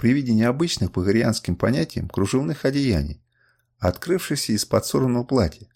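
In a quiet background, a natural voice reads aloud with lively intonation.

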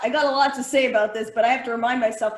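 A woman speaks in a raised, projected voice with a high pitch. Her tone is bright and sharp. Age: 40s. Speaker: podcast host. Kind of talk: casual comedic chat. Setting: live stream.

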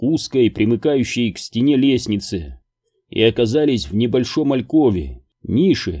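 A quiet background behind plain reading aloud

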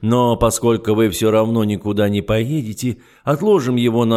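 In a natural voice, someone reads aloud, the intonation staying fairly even.

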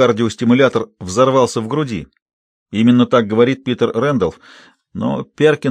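Natural-voiced reading aloud with quiet surroundings

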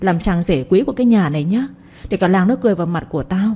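Ordinary pitch variation in a plain reading aloud

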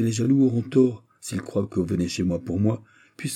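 Just plain reading aloud

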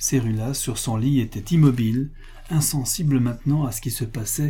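The speaker uses an unforced reading voice. Pitch moves in an ordinary way.

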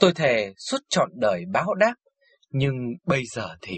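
Plain reading aloud, with quiet surroundings

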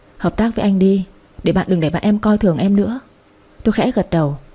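Pitch variation here is ordinary. Someone does plain reading aloud.

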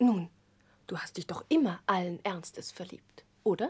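Putting on a character voice, a woman speaks at a fairly low pitch with a husky, rough edge and a slightly mellow tone. Her intonation is lively and her pace fairly slow.

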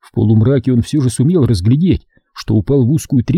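Ordinary pitch variation marks a natural reading voice. Nothing much stirs in the quiet background.

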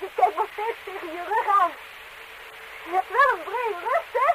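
A woman uses a put-on character voice at an extremely high pitch. Her tone is bright and sharp, with lively intonation. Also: moderate pace.

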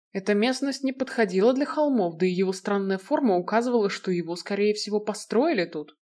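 The clip presents a natural reading voice.

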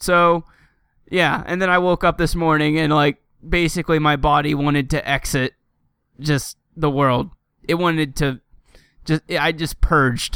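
In a very clean recording with a silent background, a man speaks loudly at a fairly slow pace in a fairly high pitch, his intonation fairly even and his pauses long and frequent. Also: dry, close sound with no echo. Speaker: gaming podcast host. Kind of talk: casual chat.

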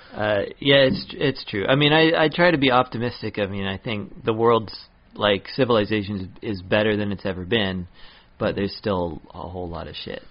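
With a plain, everyday voice, a man speaks at a moderate pace and fairly low pitch, using lively intonation and big swings in loudness. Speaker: podcast host and comedian. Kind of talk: casual chat.

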